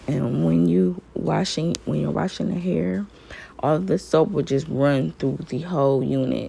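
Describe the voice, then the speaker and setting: Amid noticeable background noise, a woman with a very deep, low pitch speaks at a fairly slow pace, her pitch swinging very widely. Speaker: beauty vlogger. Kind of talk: tutorial. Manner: casual.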